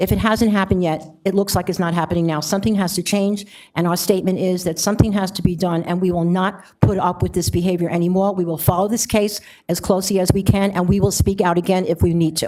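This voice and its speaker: A woman in a New York accent speaks at a very fast pace. Her medium pitch holds a monotone, flat intonation. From New York City. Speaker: social worker. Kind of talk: public comment at council meeting. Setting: city council meeting.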